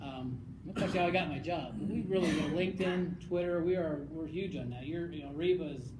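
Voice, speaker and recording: The speaker moves at a fairly quick pace. Noticeable background noise is present. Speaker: conference presenter. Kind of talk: presentation. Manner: fast; animated.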